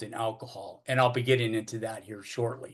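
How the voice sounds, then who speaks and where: A man with an American accent against a quiet background. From Northern California (Oakland). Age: 60s. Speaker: recovering alcoholic speaker. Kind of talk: AA recovery talk / testimony. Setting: AA meeting. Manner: halting, many fillers and repetitions.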